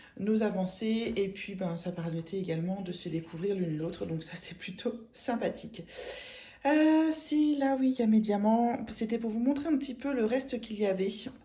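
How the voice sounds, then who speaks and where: Her voice fairly high, a woman speaks at a moderate pace with lively intonation. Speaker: craft vlogger. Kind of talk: casual vlog chat. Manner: hesitant, many fillers.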